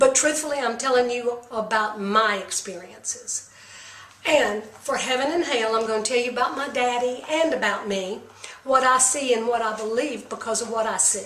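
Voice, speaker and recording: A woman's high-pitched voice with ordinary pitch variation, audible room echo and noticeable background noise. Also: moderate pace. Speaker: medium and psychic. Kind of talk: monologue on spiritual beliefs.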